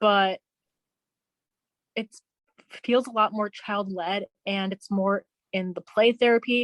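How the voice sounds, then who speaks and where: A woman with a medium pitch speaks at a very slow pace. She leaves long, frequent pauses. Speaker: behavior therapist. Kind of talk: interview conversation. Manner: halting, occasional repeated sounds.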